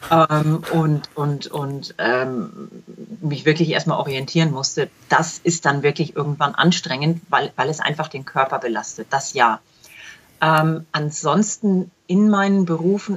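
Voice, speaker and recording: A woman with a very deep, low voice talks at a very slow pace with ordinary pitch variation. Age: 40s. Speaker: self-employed clinical trial quality assurance consultant. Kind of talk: interview. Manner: repeats words often, halting.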